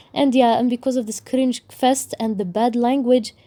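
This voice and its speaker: With an Arabic accent, a woman speaks at a fairly high pitch and a moderate pace. Her tone is dark and mellow, her intonation fairly even. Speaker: book YouTuber. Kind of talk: casual review rant.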